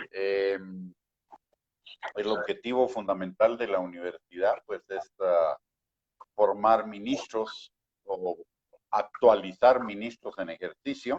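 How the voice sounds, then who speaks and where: A man speaks at a very slow pace with long, frequent pauses, in a dry, close sound with no echo. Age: 60s. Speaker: pastor and theology dean. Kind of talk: interview. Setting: online live stream.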